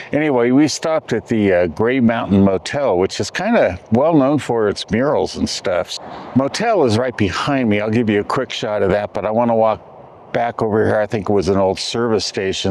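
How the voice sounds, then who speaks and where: There is noticeable background noise as a man speaks at a moderate pace and medium pitch, with ordinary pitch variation. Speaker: travel vlogger. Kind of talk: casual vlog narration. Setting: outdoors. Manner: loud.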